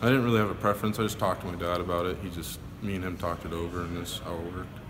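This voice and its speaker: A man speaks quietly and very fast, his very deep, low voice keeping a fairly even intonation. Audible room echo surrounds the recording. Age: young. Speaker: college football player. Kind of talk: media interview. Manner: monotone.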